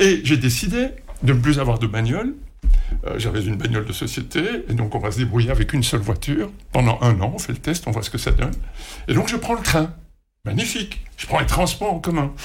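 In a room with audible echo, a man with a medium-pitched voice and vocal fry talks at a fairly quick pace, his pitch swinging very widely. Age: 60s. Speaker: retired radio executive. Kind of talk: interview. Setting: studio.

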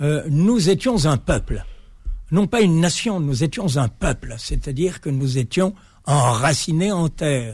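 This man's voice is fairly high and lively in intonation, and his pace is very slow. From Algeria (Algiers, pied-noir). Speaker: author and builder. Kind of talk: radio interview. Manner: halting.

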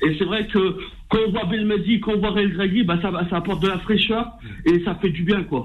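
A high-pitched man's voice with ordinary pitch variation. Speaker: radio caller, football fan. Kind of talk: phone-in opinion. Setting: phone call.

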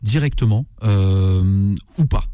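The speaker is a man. His tone is dark and mellow, and somewhat breathy. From Algerian heritage, Kabylie family. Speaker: chef. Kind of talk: cooking tutorial on radio.

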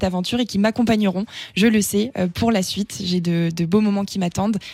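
A woman at medium pitch, somewhat breathy, with a dark, mellow tone, fairly even intonation and a very fast pace. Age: 20s. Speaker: beauty pageant winner and business student. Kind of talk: radio interview.

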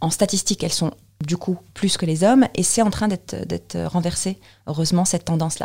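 This woman's voice sits fairly low, with a dark, mellow tone, ordinary pitch variation and vocal fry. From Tunisia, Tunis. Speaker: software presales consultant. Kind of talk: interview testimony. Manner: hesitant, with many fillers.

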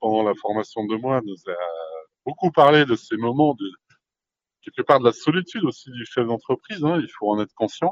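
A man speaks with lively intonation, keeping a moderate pace. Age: 40s. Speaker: franchise owner. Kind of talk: interview. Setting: podcast microphone. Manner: halting, many fillers and repetitions.

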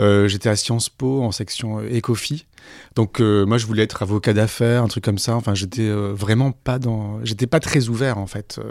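In a very clean recording with a silent background, a man with a fairly low pitch speaks at a moderate pace and with fairly even intonation. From southern France, Aix-en-Provence. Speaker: journalist and podcaster. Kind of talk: interview conversation. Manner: hesitant, many repetitions.

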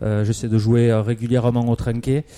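A moderate pace carries this speech. Its tone is dark and mellow. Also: man. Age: 40s. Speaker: cycling club president. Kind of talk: radio interview.

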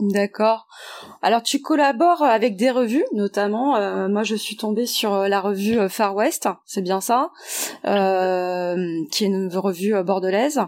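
A woman's medium-pitched voice at a very slow pace, with ordinary pitch variation, on a very clean recording with a silent background. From French Guiana and Martinique. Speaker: podcast host. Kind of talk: interview.

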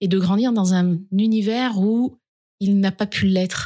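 Her voice is somewhat breathy. She talks at a medium pitch. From France, Dauphiné village. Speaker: regional politician and foundation director. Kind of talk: interview. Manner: energetic.

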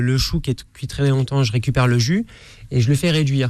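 This man uses a dark, mellow tone at a medium pitch. He speaks at a moderate pace with fairly even intonation. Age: 30s. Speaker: chef. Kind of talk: radio interview. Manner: halting.

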